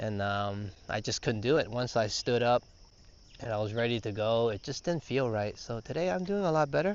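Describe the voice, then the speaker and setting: A man speaks quietly at a moderate pace, his medium-pitched voice carrying lively intonation. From Canada, Toronto. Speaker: travel vlogger. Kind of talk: live-stream walking vlog. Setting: outdoors. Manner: softer, quieter.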